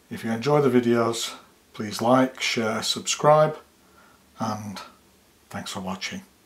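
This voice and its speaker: Over noticeable background noise, a man speaks at a very slow pace and medium pitch with ordinary pitch variation, big swings in loudness, and long, frequent pauses. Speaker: fly tying instructor. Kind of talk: tutorial.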